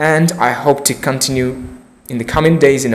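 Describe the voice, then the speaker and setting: A man's fairly high voice comes through noticeable background noise and audible room echo. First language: not English. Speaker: English learner vlogger. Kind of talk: unscripted monologue practicing English. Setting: recording alone to camera. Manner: halting.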